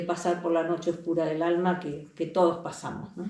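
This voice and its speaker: With audible room echo and noticeable background noise around her, a woman talks. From Argentina, Buenos Aires. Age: 60s. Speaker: holistic healing center facilitator. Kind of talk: interview.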